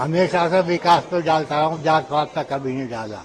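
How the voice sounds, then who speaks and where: Noticeable background noise runs under a man's voice. He speaks at a fairly high pitch with ordinary pitch variation. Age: 80s+. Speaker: voter. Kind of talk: street interview.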